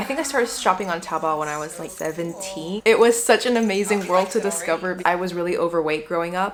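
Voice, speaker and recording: Amid noticeable background noise, a woman speaks at a fairly quick pace. Her pitch is medium, with ordinary pitch variation. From Guangzhou, China. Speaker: YouTuber, travel vlogger. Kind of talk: casual talk to camera.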